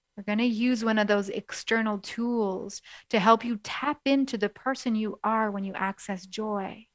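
Recorded very cleanly against a silent background with a dry, close sound and no echo, a woman talks in a normal speaking voice at a fairly high pitch. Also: fairly even intonation. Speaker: coach and podcast host. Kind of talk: guided meditation. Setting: radio show, podcast. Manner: slow, soothing, calm.

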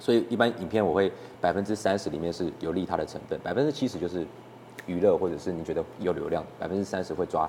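A man talks at a very fast pace. His pitch is very deep and low, with ordinary variation. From Taiwan, Keelung. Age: 20s. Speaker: short-video creator and author. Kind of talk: casual interview.

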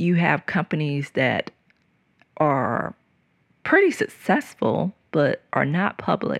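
A woman's very slow speech in an American accent, dry and close with no echo, on a very clean recording with a silent background. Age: 40s. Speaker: podcast host and engineering consultant. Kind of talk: solo podcast monologue. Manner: hesitant, many fillers.

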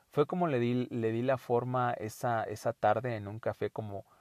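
At a fairly slow pace and medium pitch, a man talks in a dry, close sound with no echo and a quiet background. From Mexico, Puebla. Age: 30s. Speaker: podcast host, life coach. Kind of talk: solo monologue podcast. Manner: halting, frequent repetitions.

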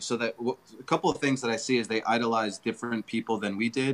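Very fast, a man speaks at medium pitch with ordinary pitch variation. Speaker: filmmaker, comedian, guest. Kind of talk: casual interview chat.

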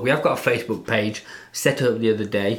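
Speaking at a moderate pace, a man talks with an English Midlands accent. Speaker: English teacher and podcast co-host. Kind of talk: casual chat.

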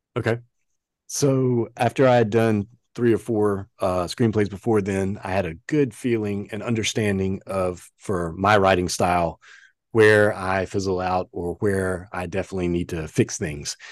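With an American accent and a plain, everyday voice, a man speaks at a moderate pace and a fairly low pitch with ordinary pitch variation against a quiet background. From US South. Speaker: creative director. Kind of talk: interview conversation.

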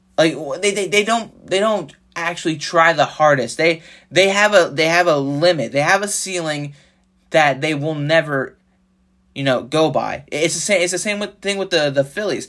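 A man's high-pitched, animated voice with a bright, sharp tone, moderate pace and ordinary pitch variation, on a very clean recording with a silent background. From South Jersey. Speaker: sports podcaster. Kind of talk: solo sports rant. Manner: animated, frustrated.

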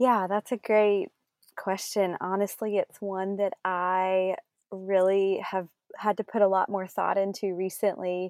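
A woman with a Southern US accent, fairly slow and monotone, with flat intonation. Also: medium pitch for a woman. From South Carolina. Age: 30s. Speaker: small business owner. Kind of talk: interview.

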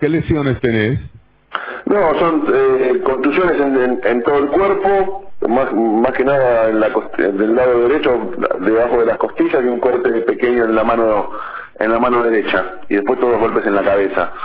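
Lively intonation marks a man's medium-pitched voice at a moderate pace, his loudness very even. Audible room echo and noticeable background noise come through. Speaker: journalist. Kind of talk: phone interview.

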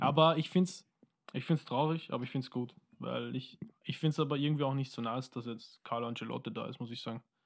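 A man talks at a very fast pace with medium pitch and ordinary pitch variation. The recording is very clean, with a silent background. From Austria, Wiener Neustadt. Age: 20s. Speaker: musician. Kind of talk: casual chat.

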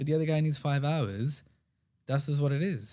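On a very clean recording with a silent background, a man speaks at a fairly quick pace in a dark, mellow tone. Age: 30s. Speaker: entrepreneur and podcast host. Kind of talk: unscripted solo monologue. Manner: casual, off-the-cuff.

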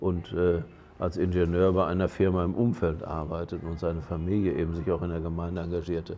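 The voice is dark and mellow, delivered at a fairly quick pace with monotone, flat intonation. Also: man, very deep, low pitch for a man. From Germany. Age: 60s. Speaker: auxiliary bishop. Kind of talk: casual interview. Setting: on location in Lisbon.

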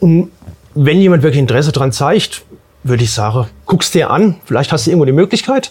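A man talks at a fairly quick pace with a fairly high pitch and lively intonation. His voice is somewhat breathy, and his loudness stays very even. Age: 50s. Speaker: pipe welder. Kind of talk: interview.

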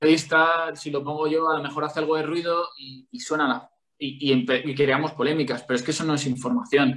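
Using a plain, everyday voice, a man speaks fairly quickly at a fairly high pitch, with ordinary pitch variation and big swings in loudness. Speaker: sports journalist and football commentator. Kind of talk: casual interview chat.

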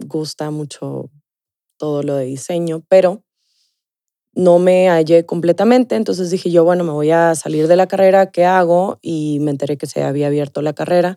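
At a moderate pace, a woman speaks in a very deep, low pitch with fairly even intonation and a dark, mellow tone, the sound dry and close with no echo. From Mexico, Sonora (Ciudad Obregón). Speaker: nutritionist. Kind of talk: casual interview.

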